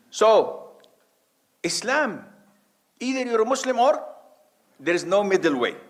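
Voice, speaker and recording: With audible room echo, a man with an extremely high pitch talks fairly slowly with lively intonation and long, frequent pauses. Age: 60s. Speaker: Islamic preacher. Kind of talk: religious lecture.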